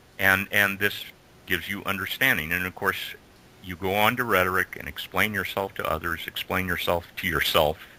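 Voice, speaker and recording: A man with an American accent, a very deep, low pitch, fairly even intonation and a fairly quick pace. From United States. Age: 60s. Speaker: educator. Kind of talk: interview. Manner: halting.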